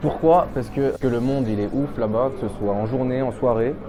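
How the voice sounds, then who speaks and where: Against background music and audible room echo, a man talks at a medium pitch. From France, Lyon area. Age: 20s. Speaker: pharmacy student. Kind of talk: testimony interview. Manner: casual, hesitant with fillers.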